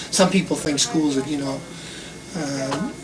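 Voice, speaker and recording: Noticeable background noise sits behind the speech. The speaker uses an American accent at a moderate pace. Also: man. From Boston area, Massachusetts. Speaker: school principal. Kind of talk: interview. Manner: casual, halting.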